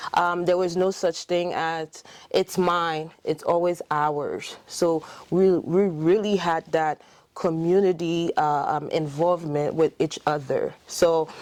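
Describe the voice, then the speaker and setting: A woman's very slow, monotone, flat delivery against a quiet background. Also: fairly low pitch for a woman. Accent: Haitian. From Haiti. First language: French. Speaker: dentist. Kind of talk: interview. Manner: hesitant, many fillers.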